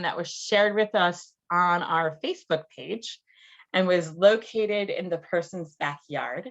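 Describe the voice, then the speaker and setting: With an ordinary speaking voice, a woman talks at a fairly slow pace, her pitch medium and her pitch variation ordinary. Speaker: naturalist. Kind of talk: lecture.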